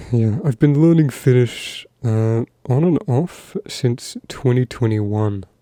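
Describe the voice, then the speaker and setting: A soft-spoken man with a dark, mellow tone and ordinary pitch variation, in a dry, close sound with no echo. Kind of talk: ASMR soft-spoken talk.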